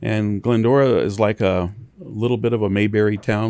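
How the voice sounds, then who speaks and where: Dark and mellow in tone, this voice belongs to a man with an American accent. His pitch is fairly low. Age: 60s. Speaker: towing company owner. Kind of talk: interview. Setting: studio.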